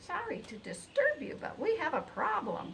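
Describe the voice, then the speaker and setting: Clear background noise runs beneath a put-on character voice delivered at a moderate pace. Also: woman. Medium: read story. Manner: chirpy, clucking.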